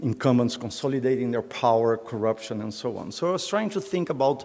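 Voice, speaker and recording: A man's voice with ordinary pitch variation. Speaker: professor. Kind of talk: lecture. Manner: hesitant, many fillers.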